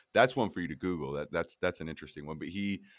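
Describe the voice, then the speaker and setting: A man speaks with an American accent. His pitch variation is ordinary. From Colorado, US. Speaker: youth football coach and podcaster. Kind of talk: casual chat.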